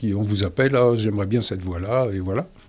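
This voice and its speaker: A man with a fairly low pitch is heard against noticeable background noise. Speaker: dubbing actor, stage actor. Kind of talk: interview answer. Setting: studio.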